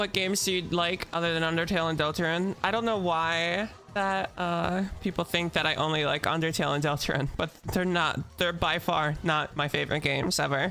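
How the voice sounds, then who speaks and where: A woman's fairly low voice with fairly even intonation at a moderate pace, with music in the background. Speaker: streamer. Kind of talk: casual livestream talk.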